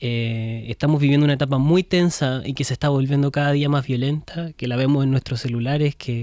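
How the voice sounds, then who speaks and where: A fairly high-pitched man with an unremarkable speaking voice, fairly even intonation and a fairly quick pace, in a dry, close sound with no echo. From Chile. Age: young. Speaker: film director. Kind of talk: interview.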